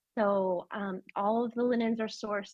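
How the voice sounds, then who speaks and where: In an American accent, a plain, everyday voice moves at a fairly slow pace with fairly even intonation. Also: woman. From United States. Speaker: fashion designer, business founder. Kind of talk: interview.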